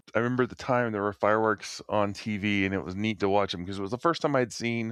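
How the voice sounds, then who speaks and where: In an ordinary speaking voice, a man talks at a fairly low pitch with ordinary pitch variation, the sound dry and close with no echo over a quiet background. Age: 50s. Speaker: podcast co-host. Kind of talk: casual chat.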